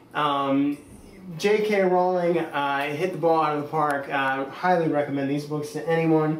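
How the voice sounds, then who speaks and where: Audible room echo surrounds a man speaking at a fairly slow pace in an American accent. His tone is enthusiastic, with ordinary pitch variation. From Pittsburgh, Pennsylvania, US. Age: 20s. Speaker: vlogger. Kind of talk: casual vlog tour. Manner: hesitant, many fillers.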